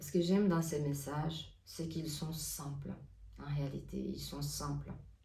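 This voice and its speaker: Someone with a non-native accent talks at a fairly slow pace, and room echo can be heard. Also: woman. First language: not French (speaking French). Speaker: oracle card reader and artist. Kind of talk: spiritual guidance talk. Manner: hesitant, many fillers.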